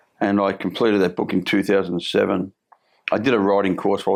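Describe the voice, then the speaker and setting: In a strong Australian accent, a man with a fairly low pitch speaks at a very fast pace against a quiet background. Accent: broad Australian. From Australia, Melbourne (Fitzroy). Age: 60s. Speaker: former criminal, recovery coach. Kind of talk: interview storytelling. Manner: halting, repetitive.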